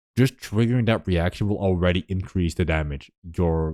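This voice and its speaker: A man's very deep, low pitch in a dry, close sound with no echo. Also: very clean recording, silent background. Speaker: gaming streamer. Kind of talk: casual commentary. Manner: animated; quieter.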